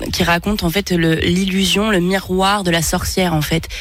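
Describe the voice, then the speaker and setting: Against noticeable background noise, a woman speaks at a fairly slow pace with fairly low pitch and fairly even intonation. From France. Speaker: singer. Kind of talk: radio interview. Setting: radio studio.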